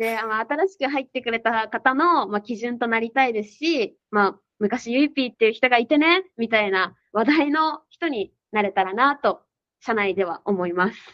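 At a moderate pace, a woman with a normal speaking voice talks at a fairly high pitch, with lively intonation and big swings in loudness. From regional Japan (outside Tokyo). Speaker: sales employee. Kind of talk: casual interview.

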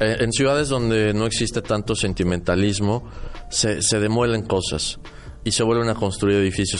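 Amid noticeable background noise and audible room echo, a man speaks at a moderate pace with a fairly low pitch and fairly even intonation. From Mexico City, central Mexico. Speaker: architect and radio host. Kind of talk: casual chat.

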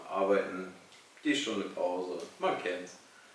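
A man speaks at a very slow pace, with audible room echo and noticeable background noise. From Lower Saxony, Germany (Salzgitter). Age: 20s. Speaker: apprentice at event company, podcast co-host. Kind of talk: casual chat. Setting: studio with camera.

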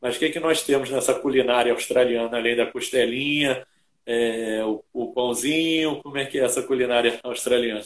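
A man talks at a moderate pace with a Brazilian accent. His intonation is fairly even. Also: medium pitch for a man. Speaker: podcast host. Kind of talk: casual interview.

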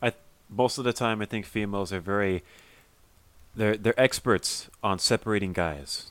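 A man's fairly low voice with an American accent, at a moderate pace with long, frequent pauses and ordinary pitch variation, on a very clean recording with a silent background. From Southern California. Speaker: podcast co-host. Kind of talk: casual chat.

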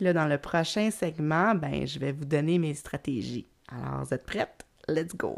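In a Quebec accent, a woman with a very deep, low pitch speaks at a fairly slow pace with vocal fry and ordinary pitch variation. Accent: Québécois French. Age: 40s. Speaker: podcast host and creativity coach. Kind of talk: solo podcast monologue. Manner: hesitant, many fillers and repetitions; laughs often.

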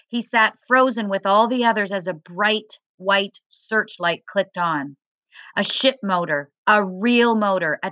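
The speaker uses an unforced reading voice against a quiet background.

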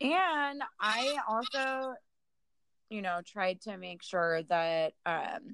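Very wide pitch swings run through a woman's fairly high, bright, sharp voice. Her pace is very slow. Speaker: podcast co-host. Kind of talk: casual chat. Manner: animated.

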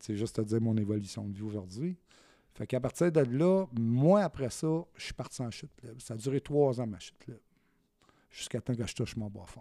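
In a Quebec accent, a man talks at a moderate pace and medium pitch with lively intonation and a dark, mellow tone, captured on a very clean recording over a silent background. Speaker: guest sharing life story. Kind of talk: testimony.

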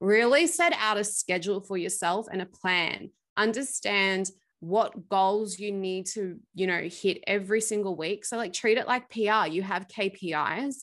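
With an Australian accent, a woman speaks at medium pitch and a moderate pace, using ordinary pitch variation. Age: 20s. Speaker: PR agency founder. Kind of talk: interview.

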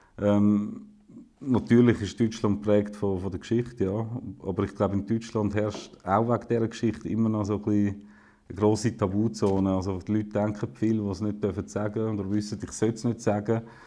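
At a fairly quick pace, a man with a fairly low pitch and dark, mellow tone speaks in a monotone, flat way. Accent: Swiss German. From Switzerland, eastern (St. Gallen, Wil). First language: Swiss German (speaking German). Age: 30s. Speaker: politician. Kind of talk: casual conversation.

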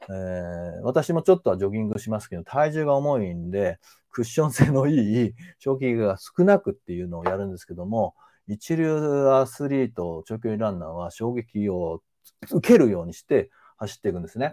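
Against a quiet background, a man with a dark, mellow tone and medium pitch talks at a fairly quick pace, with very wide pitch swings and big swings in loudness. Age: 50s. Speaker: manual therapist and sports trainer. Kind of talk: live-stream lecture. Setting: live stream. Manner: frequent filler hesitations.

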